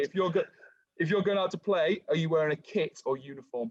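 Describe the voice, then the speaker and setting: A man talks at a fairly quick pace with an English accent. His pitch is fairly high. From England. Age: 20s. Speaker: podcast host. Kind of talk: casual interview.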